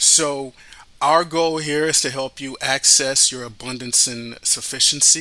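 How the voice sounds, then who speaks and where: A man speaks at a fairly slow pace in a bright, sharp tone. His intonation is fairly even. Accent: Haitian. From Miami, Florida, Haitian family. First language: Haitian Creole. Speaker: radio host and financial advisor. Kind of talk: podcast introduction.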